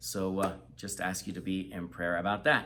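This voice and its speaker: The tone is bright and sharp. Vocal fry runs through the voice. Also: man. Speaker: missionary. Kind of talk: casual chat.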